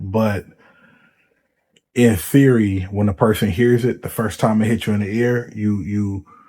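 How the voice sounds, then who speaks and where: A man speaks softly at a fairly slow pace in a fairly low voice with a dark, mellow tone, fairly even intonation and long, frequent pauses. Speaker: commentary vlogger. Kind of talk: casual monologue. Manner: soft-spoken; hesitant, many fillers.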